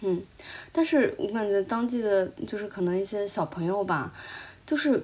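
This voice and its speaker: A woman speaks at a moderate pace in an unremarkable speaking voice, her medium pitch rising and falling with lively intonation. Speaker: podcast co-host, traveler. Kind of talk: casual chat.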